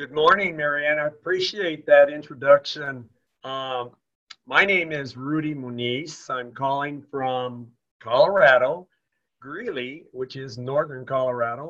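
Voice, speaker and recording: A man with an unremarkable speaking voice, fairly high in pitch, with ordinary pitch variation, big swings in loudness and a fairly slow pace. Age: 60s. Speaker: teacher, business associate. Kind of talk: testimony. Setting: phone call.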